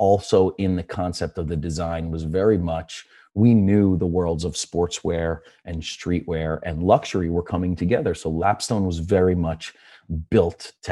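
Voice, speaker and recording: A man in a Philadelphia accent, very deep and low, dark and mellow in tone, with fairly even intonation, in a very clean recording with a silent background. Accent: Philadelphia American English. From Philadelphia, US. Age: 40s. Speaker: sneaker store owner. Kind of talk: podcast interview. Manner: casual, filler-heavy.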